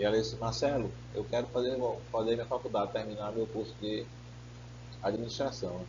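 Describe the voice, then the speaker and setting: Audible room echo surrounds a man as he talks at a moderate pace. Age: 50s. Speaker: pastor. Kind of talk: sermon.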